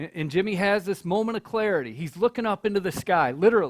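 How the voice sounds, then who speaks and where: A very fast, animated American-accented man, high-pitched with lively intonation, dry and close with no echo on a very clean recording with a silent background. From US Midwest, Michigan. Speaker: nonprofit leader giving a talk. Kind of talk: speech to college audience. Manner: animated storytelling.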